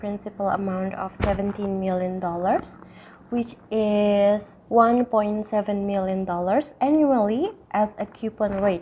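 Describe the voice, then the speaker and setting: Here a woman speaks with an Indonesian accent at a medium pitch and a fairly slow pace. She has ordinary pitch variation, with noticeable background noise behind her. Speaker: university student. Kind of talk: tutorial. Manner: occasional stutter.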